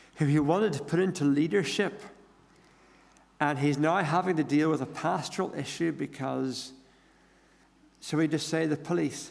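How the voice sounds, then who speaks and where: A man with an Irish accent speaks at a moderate pace, his fairly high voice showing vocal fry and ordinary pitch variation. Audible room echo surrounds long, frequent pauses. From Ireland. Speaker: pastor. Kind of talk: sermon.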